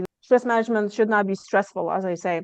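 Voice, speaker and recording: This woman speaks at a medium pitch with a slight Lithuanian accent. The sound is dry and close, with no echo. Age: 30s. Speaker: stress management coach. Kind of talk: podcast interview.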